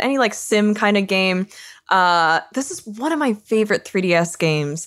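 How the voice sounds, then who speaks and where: An animated woman with very wide pitch swings, in a very clean recording with a silent background. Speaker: podcast co-host. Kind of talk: casual chat. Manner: animated, laughing.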